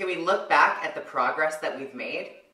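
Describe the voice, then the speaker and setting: Audible room echo and light background noise around a woman's voice with ordinary pitch variation. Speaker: beauty vlogger. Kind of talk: casual vlog chat. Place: bathroom.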